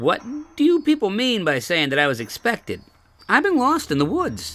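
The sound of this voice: Over faint music in the background, a man does a put-on character voice, high in pitch and fairly bright in tone, with very wide pitch swings. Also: moderate pace.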